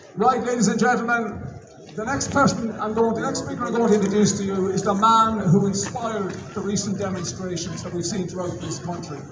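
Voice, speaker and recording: A man speaks at a fairly quick pace in a high pitch, his intonation fairly even. Noticeable background noise and audible room echo surround him. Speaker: rally emcee. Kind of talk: rally speech. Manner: loud. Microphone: no microphone.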